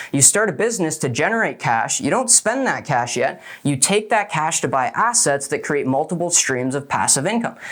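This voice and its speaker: Animated and high-pitched, a man's voice swings very widely in pitch. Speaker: business coach. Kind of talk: motivational talk. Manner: fast.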